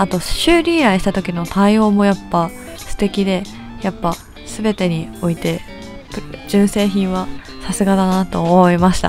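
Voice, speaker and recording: Music plays in the background as a woman speaks. She goes at a fairly slow pace with long, frequent pauses. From Japan. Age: 20s. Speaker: game streamer. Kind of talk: casual talk to camera, product review.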